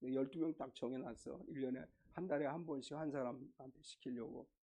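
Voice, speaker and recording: A man's dark, mellow tone at a fairly high pitch, with vocal fry, ordinary pitch variation and a moderate pace. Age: 60s. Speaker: pastor. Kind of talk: sermon. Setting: church. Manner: casual, conversational.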